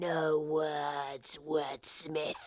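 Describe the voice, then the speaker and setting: A put-on character voice at middle pitch comes out flat and monotone, with hissing throughout. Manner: hissing, menacing.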